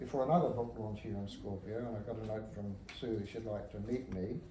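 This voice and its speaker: There's audible room echo around a man speaking with a New Zealand accent. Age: 80s+. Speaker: poet. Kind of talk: book launch speech. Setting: bookshop event with audience.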